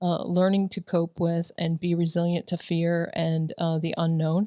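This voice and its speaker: A woman speaks at a fairly slow pace, her pitch fairly low and her tone dark and mellow. Her intonation is monotone and flat, and her loudness very even. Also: dry, close sound with no echo. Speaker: military veteran and school staff co-host. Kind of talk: casual chat. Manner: halting.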